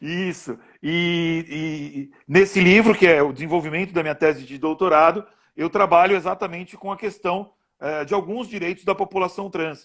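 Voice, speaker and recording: A man's high-pitched voice at a moderate pace, fairly even in intonation yet with big swings in loudness, on a very clean recording with a silent background. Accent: São Paulo. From Brazil, São Paulo. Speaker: law professor. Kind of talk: interview in a live stream. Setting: Instagram live video stream. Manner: hesitant, with fillers and repeated words.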